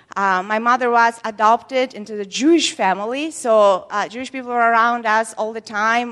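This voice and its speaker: At a moderate pace, a woman speaks in a bright, sharp tone at a fairly high pitch with ordinary pitch variation. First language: not English. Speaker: preacher. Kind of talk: sermon. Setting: church. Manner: halting.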